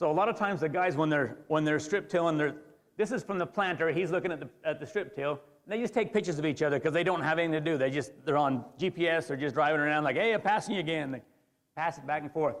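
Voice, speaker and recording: Animated and very fast, a man speaks with an American accent at a fairly high pitch. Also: ordinary pitch variation. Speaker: farmer. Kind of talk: presentation.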